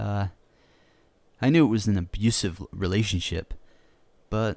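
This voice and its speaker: A dark, mellow tone with lively intonation comes at a fairly slow pace in a very clean recording with a silent background. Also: man. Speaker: voice actor, creepypasta narrator. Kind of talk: horror story narration, first-person. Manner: casual, conversational, self-deprecating.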